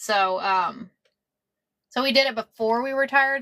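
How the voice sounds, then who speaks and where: This voice has a bright, sharp tone and ordinary pitch variation, delivered with an American accent. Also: woman. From Texas. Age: 50s. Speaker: quilter. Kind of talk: live-stream sewing tutorial. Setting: live stream at home. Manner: casual, repetitive.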